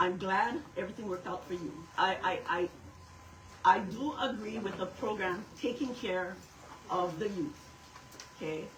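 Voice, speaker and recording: A woman's medium-pitched, lively speech at a moderate pace, with long, frequent pauses, noticeable background noise and audible room echo. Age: 60s. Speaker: local resident. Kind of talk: community meeting speech.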